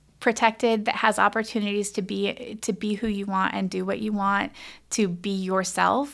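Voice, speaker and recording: Heard on a very clean recording with a silent background, a woman with an American accent and an ordinary speaking voice speaks at a moderate pace and medium pitch. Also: fairly even intonation. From US West Coast, Humboldt County, northern California. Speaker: public health officer and physician. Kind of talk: interview.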